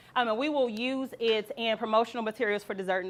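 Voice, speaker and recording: A woman talks at a fairly quick pace in a fairly high voice with ordinary pitch variation. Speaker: relationship workshop leader. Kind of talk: seminar presentation. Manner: fast.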